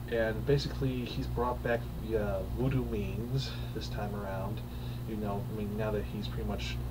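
A man's speech holds a moderate pace and ordinary pitch variation, heard through noticeable background noise. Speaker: film reviewer. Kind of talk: casual review commentary. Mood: amused, critical. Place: home room. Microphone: webcam.

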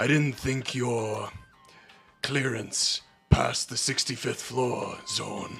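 A put-on character voice at a very slow pace over faint background music. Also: man, medium pitch for a man.

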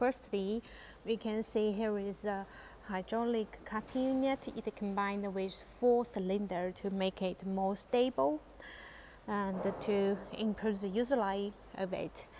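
A woman speaks in a dark, mellow tone at a fairly slow pace. Her intonation is fairly even, with light background noise behind her. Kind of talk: product demonstration tour. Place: factory. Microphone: phone near.

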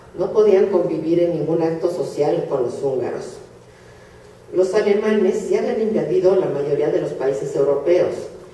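In a room with audible echo, a woman speaks at a moderate pace. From Hungary (Budapest). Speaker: Holocaust survivor speaker. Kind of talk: lecture. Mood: solemn, grave. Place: hall. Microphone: camera far.

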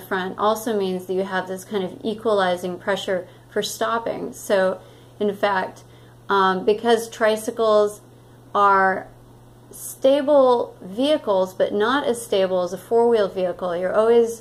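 This is a woman's voice. She talks fairly slowly, her intonation fairly even. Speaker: interviewee. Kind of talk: interview answer. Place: home room. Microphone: studio mic.

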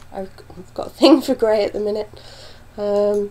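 A woman's medium-pitched voice with a British accent, fairly even intonation and a moderate pace, over noticeable background noise. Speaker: knitting podcaster. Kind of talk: casual talk to camera.

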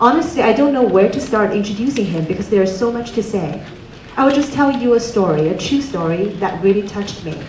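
A woman's voice carries audible room echo over light background noise. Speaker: event host introducing speaker. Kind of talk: speech introduction. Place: hall. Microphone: handheld.

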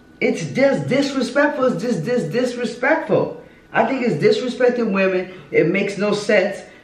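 A woman speaks at a moderate pace and a fairly high pitch. Room echo is audible. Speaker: host's mother reacting to music video. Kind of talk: casual chat. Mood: disapproving, indignant. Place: home room. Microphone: camera far.

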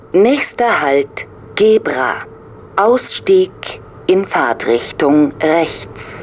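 Amid light background noise, a woman speaks at a very slow pace with long, frequent pauses and very wide pitch swings. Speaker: train announcement speaker. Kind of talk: train station announcements. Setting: onboard train PA system. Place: train.

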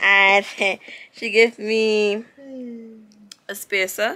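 With a Barbadian accent, a woman speaks very slowly in a bright, sharp tone and a fairly high pitch. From Barbados. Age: 30s. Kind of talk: casual vlog talk, opening gifts.

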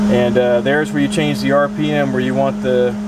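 A man's dry voice with no echo under loud background noise. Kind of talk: tutorial. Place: car. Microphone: phone near.

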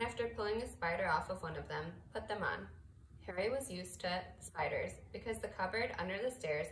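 The clip is plain reading aloud.

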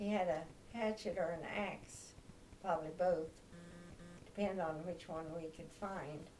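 Light background noise surrounds a woman with a Midwestern American accent. She speaks fairly slowly, with long, frequent pauses. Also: fairly low pitch for a woman, fairly even intonation. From Kansas. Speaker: grandmother sharing memories. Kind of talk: oral history interview answer. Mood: warm, reminiscing. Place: home room. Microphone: camera far.

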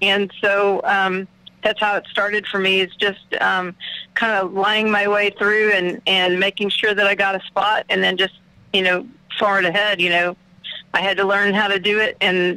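A woman's bright, sharp voice in an Oklahoma accent, medium in pitch, monotone and flat, at a moderate pace with very even loudness. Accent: Oklahoma Southern US. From Oklahoma, Muskogee. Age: 50s. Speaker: drummer. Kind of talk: casual radio interview.

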